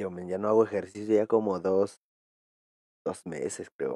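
A man talks with a dark, mellow tone and fairly low pitch. The recording is very clean with a silent background, and the sound is dry and close with no echo. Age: 20s. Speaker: gaming streamer. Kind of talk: casual live stream chat while gaming. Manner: animated.

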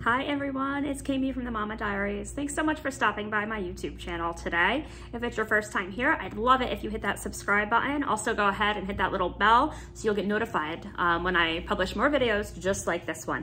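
Over light background noise, a woman talks at a fairly quick pace with lively intonation and hardly any pauses. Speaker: YouTube vlogger. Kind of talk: casual vlog chat. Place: home room. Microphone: phone near.

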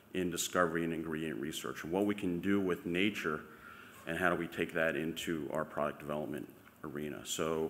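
Fairly quick speech over light background noise. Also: man, very deep, low pitch for a man. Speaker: presenter. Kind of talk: conference talk. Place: hall. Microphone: podium.

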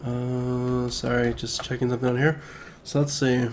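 Over music in the background, a man speaks at a medium pitch and a moderate pace with fairly even intonation. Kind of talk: casual gameplay commentary. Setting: home recording, new mic.

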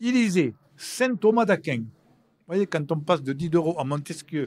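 A man's high voice at a fairly slow pace. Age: old. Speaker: historian and lecturer; lecturer. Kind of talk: live public talk. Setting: stage with audience. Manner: talkative. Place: hall.

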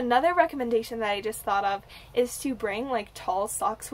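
This woman speaks at a moderate pace. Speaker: travel vlogger. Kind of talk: casual vlog chat with tips. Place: home room. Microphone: phone near.

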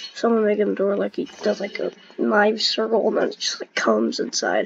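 There is noticeable background noise in this clip. Over it, a woman speaks at a moderate pace. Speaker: gamer. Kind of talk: gameplay commentary. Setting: video game recording. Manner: casual, reactive.

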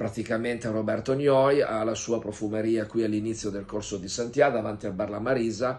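In a quiet setting, a man speaks at a moderate pace with ordinary pitch variation. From Piedmont, Italy (Vercelli); Piedmont, Italy. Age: 60s. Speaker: music producer. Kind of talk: promotional video message. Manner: informal, somewhat halting. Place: home room. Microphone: phone near.

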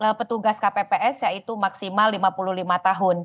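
An unremarkable speaking voice with fairly even intonation. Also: woman. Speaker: election watchdog expert. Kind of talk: live TV interview. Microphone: unstable connection, drops out.

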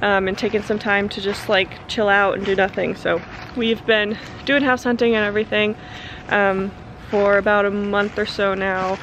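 A woman with a medium pitch talks over noticeable background noise. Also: moderate pace. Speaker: vlogger and writer. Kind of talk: casual vlog. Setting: outdoors at new house. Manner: rambling, excited.

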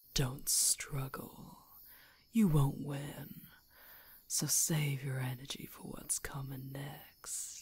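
A woman whispers very slowly in a put-on character voice with a menacing tone. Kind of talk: ASMR roleplay, close-mic. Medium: audio drama. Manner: menacing, teasing, purring.

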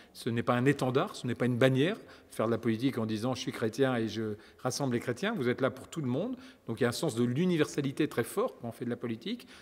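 Talking at a very fast pace, a man holds a medium pitch with ordinary pitch variation. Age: 50s. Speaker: politician; politician being interviewed. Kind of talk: interview. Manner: hesitant, with many repetitions. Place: studio.

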